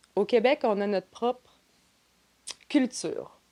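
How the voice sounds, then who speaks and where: The speaker moves at a very slow pace. Pitch variation is ordinary. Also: woman. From New Brunswick, Canada (Grand Manan island). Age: 30s. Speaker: trade show marketing and operations director. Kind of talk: podcast interview.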